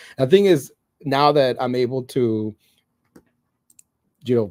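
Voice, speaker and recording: A man's medium-pitched voice with a non-native accent and a dark, mellow tone, ordinary pitch variation and a moderate pace, in a dry, close sound with no echo on a very clean recording with a silent background. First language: not English. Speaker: edtech leader, former teacher. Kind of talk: casual chat.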